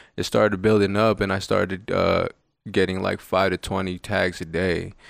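A man speaks at a moderate pace in a very deep, low voice with flat, monotone intonation, on a very clean recording with a silent background. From Las Vegas. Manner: soft-spoken, quiet.

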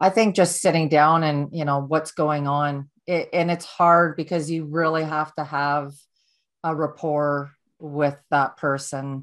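A woman's very deep, low voice in a Canadian accent, with monotone, flat intonation. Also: fairly slow pace. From Ontario, Canada. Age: 40s. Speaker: author and motivational speaker. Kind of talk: interview, personal testimony.

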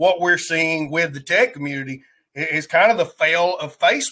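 A man's high, bright and sharp voice with an American accent and ordinary pitch variation. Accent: Southern US redneck. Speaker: livestreamer and podcast host. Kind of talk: casual live stream chat. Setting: live stream with online chat.

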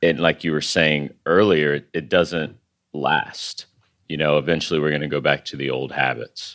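A man with a very deep, low voice and vocal fry speaks at a moderate pace with an American accent. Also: fairly even intonation. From West Texas. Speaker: podcast host. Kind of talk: casual interview.

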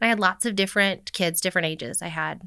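With a bright, sharp tone and lively intonation, a woman speaks at a very fast pace on a very clean recording with a silent background. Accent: American. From Arizona (Scottsdale). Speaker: first grade teacher and adoptive mother. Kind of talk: casual interview.

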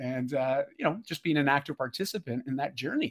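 A very fast, enthusiastic delivery with ordinary pitch variation, dry and close with no echo, in a very clean recording with a silent background. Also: man. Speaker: lifestyle mentor and performance coach. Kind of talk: casual interview conversation.

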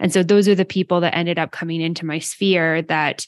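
Speaking with a Canadian accent, a woman delivers her words at a fairly quick pace in a fairly low, monotone, flat voice. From Western Canada, small town. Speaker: yoga business podcaster. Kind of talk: interview conversation. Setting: video call.

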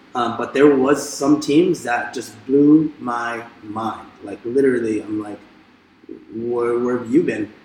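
A man's medium-pitched voice at a very slow pace, fairly even in intonation, with big swings in loudness and noticeable background noise. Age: 30s. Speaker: dancer and dance teacher. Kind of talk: interview.

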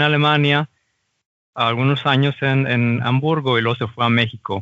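A man talks at a moderate pace and medium pitch. His intonation is flat and monotone. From Mexico. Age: 30s. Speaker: mechanical designer working in Germany. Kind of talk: casual interview.

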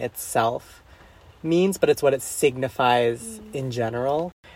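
Using a plain, everyday voice, a man speaks at a fairly slow pace with a fairly high pitch and ordinary pitch variation. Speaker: book club guest. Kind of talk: casual book discussion.

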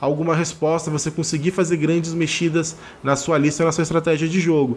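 An ordinary speaking voice from a man, fairly high in pitch, at a moderate pace. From Rio de Janeiro, Brazil. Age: 30s. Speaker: card game content creator and writer. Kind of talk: pre-recorded opinion segment. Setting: remote pre-recorded audio.

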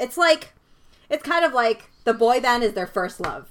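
A woman talks at a moderate pace in a bright, sharp tone with very wide pitch swings. The recording is very clean, with a silent background. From Canada. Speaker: podcast co-host. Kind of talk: casual film discussion.

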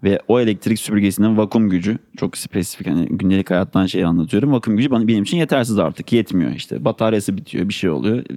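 Here a man speaks at a very fast pace with a fairly low pitch. His tone is dark and mellow, and his pitch variation is ordinary. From Turkey, Ankara. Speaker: sustainability consultant and newsletter editor. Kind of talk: podcast interview.

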